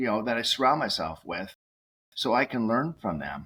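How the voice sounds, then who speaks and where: Here a man talks with a Massachusetts accent. His pitch variation is ordinary. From Massachusetts, Cape Cod. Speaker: nutraceutical executive and radio host. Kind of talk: podcast interview. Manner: animated, many fillers.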